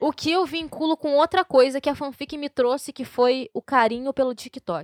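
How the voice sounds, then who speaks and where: Speaking at a moderate pace with hardly any pauses, a woman uses a high pitch and ordinary pitch variation, recorded with a dry, close sound and no echo. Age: 20s. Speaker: podcast host. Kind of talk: casual chat.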